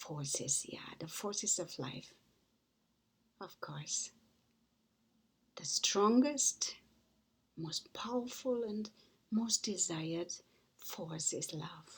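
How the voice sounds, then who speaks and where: A woman with a German accent at a medium pitch, somewhat breathy and very slow, with very wide pitch swings, big swings in loudness and long, frequent pauses. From Germany. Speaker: author and motivational speaker. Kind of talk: inspirational talk.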